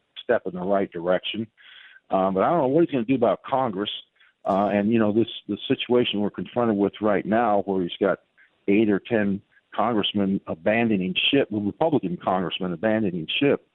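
A man speaks at a fairly quick pace in an ordinary speaking voice with a fairly low pitch. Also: ordinary pitch variation. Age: 60s. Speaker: author and political commentator. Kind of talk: radio interview.

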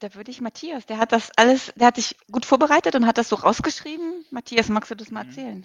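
Speaking at a very fast pace with hardly any pauses, a woman with a fairly high pitch shows ordinary pitch variation and big swings in loudness. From Hamburg, northern Germany. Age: 40s. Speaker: ultrarunner. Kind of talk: interview. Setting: video call.

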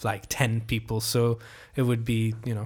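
The recording is very clean, with a silent background. On it, a man with a Hungarian accent speaks at a fairly slow pace. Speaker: journalist. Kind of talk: interview. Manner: halting.

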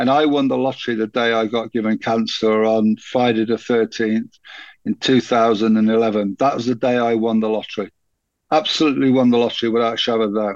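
In a British accent, a man talks at a fairly quick pace and a medium pitch with fairly even intonation. The sound is dry and close with no echo, over a quiet background. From UK, moved around many cities. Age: 60s. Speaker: cancer support group founder. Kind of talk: interview conversation.

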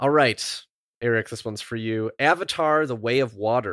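An ordinary speaking voice from a man, medium pitch with ordinary pitch variation at a moderate pace, in a very clean recording with a silent background. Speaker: podcast host. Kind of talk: casual chat.

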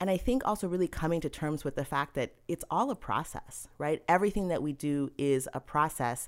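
In a very clean recording with a silent background, a woman speaks with an American accent at a moderate pace. Her pitch is very deep and low, with ordinary variation. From Massachusetts. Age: 40s. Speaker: nutritionist. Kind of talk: casual interview chat.

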